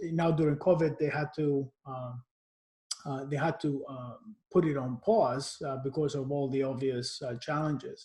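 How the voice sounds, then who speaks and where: A man speaks at a moderate pace with ordinary pitch variation and big swings in loudness. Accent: Cypriot. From Cyprus. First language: Greek. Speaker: marketing executive. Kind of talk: interview. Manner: halting.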